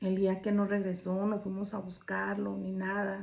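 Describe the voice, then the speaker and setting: The voice has a dark, mellow tone and sounds somewhat breathy. It moves at a fairly slow pace. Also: woman. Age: 60s. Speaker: storyteller sharing own life. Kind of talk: personal testimony.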